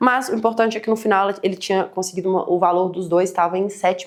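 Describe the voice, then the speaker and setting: A woman's medium-pitched voice at a very fast pace. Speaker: financial educator. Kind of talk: online webinar presentation. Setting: live stream. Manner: animated.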